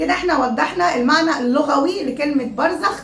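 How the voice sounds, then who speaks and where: In an Egyptian accent, a woman with a high pitch speaks at a moderate pace with ordinary pitch variation. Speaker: YouTuber. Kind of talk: casual vlog talk. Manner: loud.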